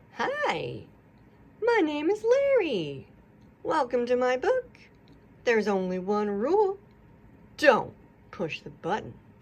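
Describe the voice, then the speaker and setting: A woman's put-on character voice, high-pitched, at a fairly slow pace with long, frequent pauses. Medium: read story. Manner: chatty, playful.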